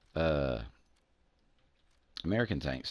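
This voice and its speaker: A man with a Southern US accent and lively intonation, on a very clean recording with a silent background. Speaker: gaming YouTuber. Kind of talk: gameplay commentary. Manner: casual, rambling with hesitations.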